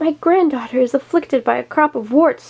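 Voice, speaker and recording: A woman's put-on character voice, high-pitched, at a fairly quick pace. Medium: read story.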